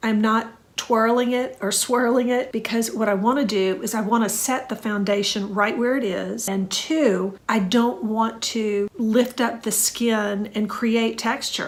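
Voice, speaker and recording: A woman at a fairly high pitch and fairly slow pace, with fairly even intonation, hardly any pauses, and noticeable background noise. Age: 60s. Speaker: skincare content creator. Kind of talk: makeup tutorial talk to camera.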